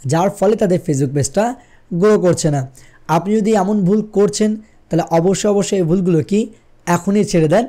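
Against a quiet background, a man speaks in a high voice with a dark, mellow tone, ordinary pitch variation and very even loudness. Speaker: tech YouTuber. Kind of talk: tutorial. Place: studio. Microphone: studio mic.

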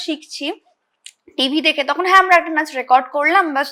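Bright and sharp in tone, a woman's raised, projected voice carries ordinary pitch variation. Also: very clean recording, silent background. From Hooghly district, West Bengal, India. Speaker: nursing student and dancer. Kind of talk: interview. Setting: studio.

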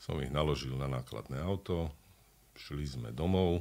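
At a fairly slow pace, a man speaks with ordinary pitch variation. His voice sits very deep and low. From Slovakia. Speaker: actor and dubbing voice actor. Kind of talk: interview answer. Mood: animated storytelling anecdote. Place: studio. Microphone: studio mic.

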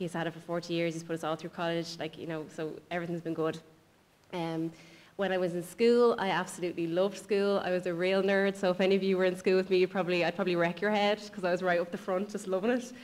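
A woman talks at a very fast pace with an Irish accent. Her intonation stays fairly even. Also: medium pitch for a woman. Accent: Irish, noticeable. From Ireland. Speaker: speaker. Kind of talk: personal testimony. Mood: earnest, reflective. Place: hall. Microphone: podium.

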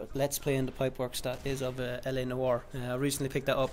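A man with an Irish accent speaks at a fairly high pitch. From Ireland. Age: 20s. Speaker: gaming YouTuber. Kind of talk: casual vlog monologue. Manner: halting, many fillers and restarts.

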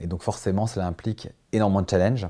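The voice has a dark, mellow tone and ordinary pitch variation at a fairly quick pace. The background is quiet. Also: man. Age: 40s. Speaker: company CEO. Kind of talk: corporate recruitment interview. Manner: hesitant, many fillers and repetitions. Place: office. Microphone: lapel.

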